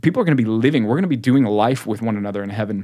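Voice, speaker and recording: A man with an American accent at a very fast pace. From Texas. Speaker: podcast host. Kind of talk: casual chat. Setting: studio.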